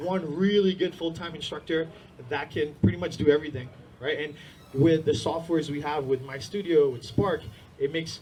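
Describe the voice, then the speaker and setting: A man's fairly high voice at a very fast pace, fairly even in intonation, with audible room echo. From India-born, raised in US from age six (New Jersey area). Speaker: martial arts school owner. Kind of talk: conference talk. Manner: casual, filler-heavy.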